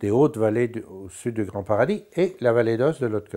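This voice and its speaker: The man's voice has a dark, mellow tone. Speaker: linguist, dialectologist. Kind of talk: interview. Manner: halting, many hesitations.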